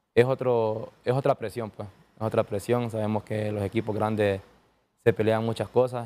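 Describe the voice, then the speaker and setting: The man's voice has a dark, mellow tone. He speaks with monotone, flat intonation. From Honduras. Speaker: professional footballer (defender); guest. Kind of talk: interview. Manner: halting, with many repetitions. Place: studio. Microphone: lapel.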